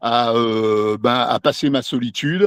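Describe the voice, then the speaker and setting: Ordinary pitch variation comes through in a dry, close sound with no echo and a quiet background. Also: man. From France, Lyon. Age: 60s. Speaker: novelist. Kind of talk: interview. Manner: halting, many hesitations.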